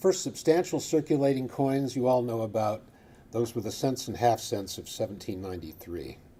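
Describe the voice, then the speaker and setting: Here a man speaks with a Midwestern American accent. His tone is dark and mellow. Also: medium pitch for a man, moderate pace. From Michigan. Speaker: coin researcher. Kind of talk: lecture.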